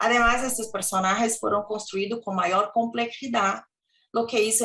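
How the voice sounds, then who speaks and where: She speaks with a Portuguese accent. This woman's pitch is fairly high, with ordinary variation. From Brazil. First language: Portuguese (speaking Spanish). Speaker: professor. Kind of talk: academic presentation. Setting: video call.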